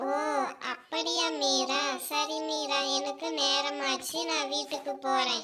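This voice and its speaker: High pitch and a very slow pace in a cartoonish character voice. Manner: sly, nosy.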